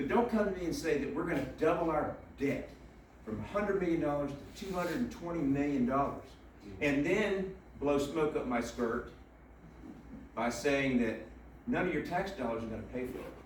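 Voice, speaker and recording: A man's fairly high voice with lively intonation, a moderate pace, and long, frequent pauses, plus noticeable background noise and audible room echo. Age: 60s. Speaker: political candidate. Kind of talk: interview. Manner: animated.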